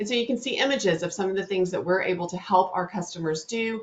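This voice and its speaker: A woman with a Southern US accent speaks at a medium pitch with ordinary pitch variation. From North Louisiana. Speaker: webinar host, digital marketing specialist. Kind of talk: webinar presentation. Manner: fast.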